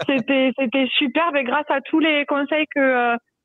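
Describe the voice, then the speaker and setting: The speaker has a slight southern French accent. The pace is moderate and the intonation fairly even. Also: woman. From southern France, near Toulouse. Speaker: contest winner, listener. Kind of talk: casual chat.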